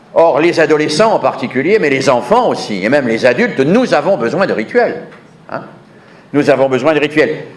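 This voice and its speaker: The voice moves at a moderate pace with very wide pitch swings, with noticeable background noise and audible room echo. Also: man, fairly high pitch for a man. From southern France. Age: 70s. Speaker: education researcher, conference speaker. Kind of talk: conference lecture. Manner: emphatic, repeats key phrases.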